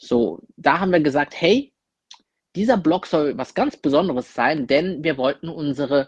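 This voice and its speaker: A man's voice, dry and close, with no echo. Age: 20s. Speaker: content creator. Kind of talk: recorded monologue.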